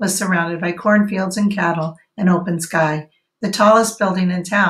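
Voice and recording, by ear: Over a quiet background, the text is read aloud in a natural voice with fairly even intonation.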